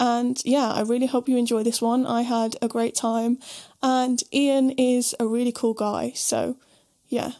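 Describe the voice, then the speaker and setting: At a fairly slow pace, a woman speaks in a high, dark, mellow voice, monotone and flat, with very even loudness. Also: quiet background. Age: 20s. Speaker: podcast host and bass player. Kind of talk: casual chat; scripted introduction. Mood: warm, relaxed. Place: home room. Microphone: studio mic.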